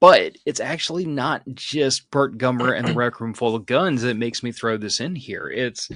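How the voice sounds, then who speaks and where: An ordinary speaking voice from a man at a medium pitch, with ordinary pitch variation and a moderate pace. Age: 40s. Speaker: podcast host. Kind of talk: casual chat.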